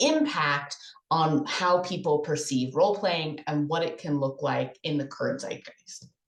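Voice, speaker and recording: A woman's fairly low voice at a fairly slow pace, with audible room echo. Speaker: conference presenter. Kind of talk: conference presentation.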